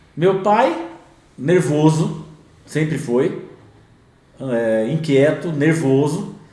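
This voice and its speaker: Very slow delivery with long, frequent pauses and ordinary pitch variation, plus audible room echo and noticeable background noise. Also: man, fairly high pitch for a man. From interior of São Paulo state, Brazil (Bauru). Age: 50s. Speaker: entrepreneur in construction. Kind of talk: podcast interview.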